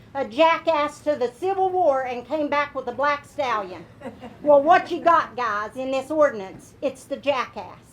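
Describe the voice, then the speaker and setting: Over noticeable background noise, a woman with an Appalachian accent speaks at a high pitch and a fairly slow pace with lively intonation. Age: 60s. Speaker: retired coal miner, public commenter. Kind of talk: public comment at county meeting. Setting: meeting room podium. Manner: animated.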